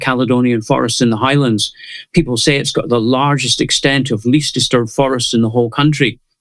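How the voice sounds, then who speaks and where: Here a man speaks in a Scottish accent at a medium pitch. His intonation stays fairly even as he moves at a fairly quick pace. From Scotland. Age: 70s. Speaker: conservationist. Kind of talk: interview.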